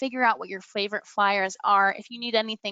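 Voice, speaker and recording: The voice belongs to a woman. It sits at a fairly high pitch. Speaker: marketing professional for a promotional products supplier. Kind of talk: webinar sales presentation. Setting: webinar online. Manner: fast; animated.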